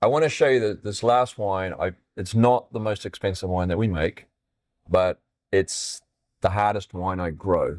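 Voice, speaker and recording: The sound is dry and close with no echo, on a very clean recording with a silent background. The pace is moderate, with ordinary pitch variation. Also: man, fairly low pitch for a man. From New Zealand. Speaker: winemaker. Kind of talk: casual chat.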